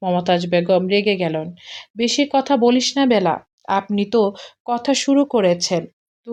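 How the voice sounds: Lively intonation from a natural reading voice, with a quiet background.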